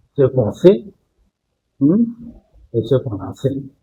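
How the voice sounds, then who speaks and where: A man's medium-pitched voice, dark and mellow in tone, somewhat breathy, with lively intonation. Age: 80s+. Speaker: doctor. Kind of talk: interview.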